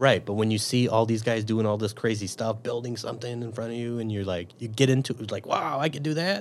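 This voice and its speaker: Speaking with a Chicago accent, a man talks at a fairly quick pace. His voice sits at a medium pitch with fairly even intonation. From Chicago, Northwest side. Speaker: police officer. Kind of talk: casual interview.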